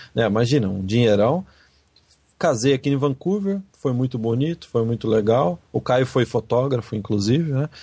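A man with medium pitch has a dark, mellow tone that is somewhat breathy. His intonation is lively and his pace moderate. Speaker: podcast host. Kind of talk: casual chat. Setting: Skype call.

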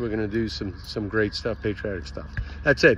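With light background noise and a dry sound with no echo, a man talks at a moderate pace. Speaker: road trip vlogger. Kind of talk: casual vlog update. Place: street. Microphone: phone near.

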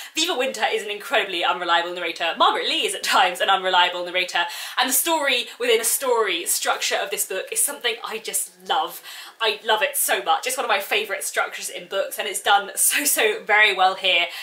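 Very fast in pace, a woman speaks at a fairly high pitch. Her intonation is lively. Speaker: book vlogger. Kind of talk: video announcement, enthusiastic talk to camera. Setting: video recording. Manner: fast talker; animated, excitable. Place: home room. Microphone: phone near.

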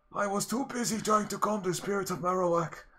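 A man talks in a put-on character voice, keeping a moderate pace. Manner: polite, gentle.

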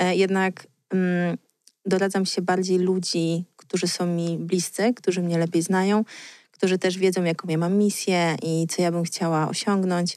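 A woman speaks at a moderate pace in a monotone, flat intonation. The background is quiet, and the sound is dry with no echo. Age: 30s. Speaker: blogger and author; blogger. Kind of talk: casual chat. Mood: relaxed, smiling. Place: studio. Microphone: studio mic.

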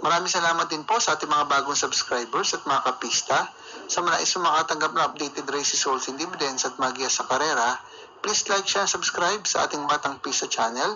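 Noticeable background noise sits behind a man speaking at a very fast pace. His pitch is fairly high, with ordinary variation. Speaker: channel host. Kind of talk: announcing results and shoutouts.

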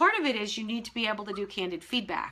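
A woman's fairly high voice carries an energetic tone. It sounds bright and sharp. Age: 50s. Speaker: business coach. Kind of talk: live-streamed webinar. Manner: direct. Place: office. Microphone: webcam.

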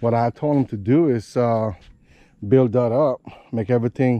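This man has a dark, mellow tone and fairly even intonation at a moderate pace. The sound is dry with no echo, and the background is quiet. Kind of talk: casual vlog chat. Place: open country. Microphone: phone near.

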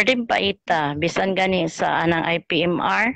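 A woman's fairly low voice at a very slow pace, with a quiet background and a dry sound with no echo. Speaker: student and community member. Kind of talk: class discussion, testimony. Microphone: video call.

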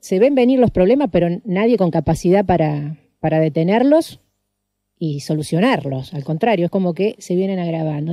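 A woman's dark, mellow voice at a moderate pace with very wide pitch swings, in a dry sound with no echo and a quiet background. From Argentina, San Lorenzo (Santa Fe). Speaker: radio host. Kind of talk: radio interview. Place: studio.

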